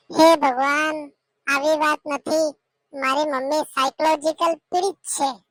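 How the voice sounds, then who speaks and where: A woman's high-pitched cartoonish character voice, fairly slow and monotone with flat intonation, in a dry, close sound with no echo. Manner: complaining, nagging.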